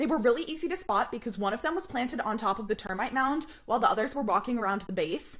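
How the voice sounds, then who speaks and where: Loud and animated, a woman talks very fast at a fairly high pitch with very wide pitch swings, over noticeable background noise. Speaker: travel vlogger. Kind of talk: scripted narration.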